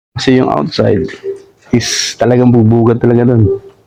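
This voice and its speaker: Medium in pitch, the man's voice carries a dark, mellow tone. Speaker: catering worker. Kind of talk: casual interview. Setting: office. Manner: soft-spoken.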